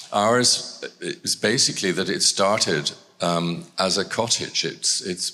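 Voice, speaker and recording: A man's bright, sharp tone at a very slow pace, with ordinary pitch variation, in a very clean recording with a silent background. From Scotland. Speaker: art gallery director. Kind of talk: public talk.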